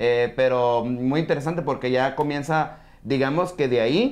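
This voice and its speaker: This man's pitch varies in an ordinary way as he talks at a fairly slow pace. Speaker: sports podcaster. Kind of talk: casual chat. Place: studio.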